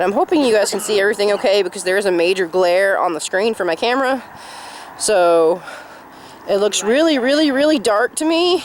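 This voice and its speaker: The speech is mumbled at a moderate pace. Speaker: vlogger. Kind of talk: casual vlog. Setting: outdoors in cemetery. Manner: mumbling.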